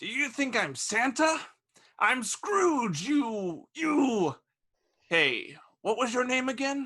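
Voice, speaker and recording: Using a put-on character voice, a man projects loudly at an extremely high pitch, with lively intonation and a very slow pace. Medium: audio drama. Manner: grumpy, scoffing.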